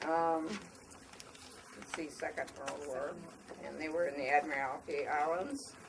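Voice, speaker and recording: A woman's very deep voice in an American accent, fairly slow with long, frequent pauses and fairly even intonation, amid audible room echo and noticeable background noise. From US Midwest, Somerset, Wisconsin. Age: 80s+. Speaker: elderly local resident. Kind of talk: oral history talk to schoolchildren. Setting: library with audience of children.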